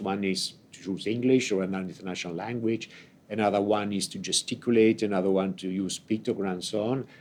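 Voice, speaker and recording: A man's fairly low, monotone voice with flat intonation, at a moderate pace. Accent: Italian. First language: Italian. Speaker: ambassador. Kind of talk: unscripted opening speech. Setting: conference event, hybrid. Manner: halting, many fillers.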